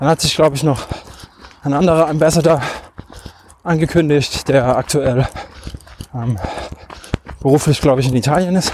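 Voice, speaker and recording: There is noticeable background noise. A man speaks at a moderate pace with fairly even intonation. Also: fairly high pitch for a man. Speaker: podcast host, trail runner. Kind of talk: solo monologue while running. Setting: outdoors in a forest. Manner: halting, many fillers.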